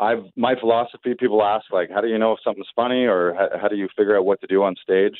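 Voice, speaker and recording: In a Canadian accent, a man with a fairly low pitch uses fairly even intonation in an ordinary speaking voice. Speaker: comedian. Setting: phone call.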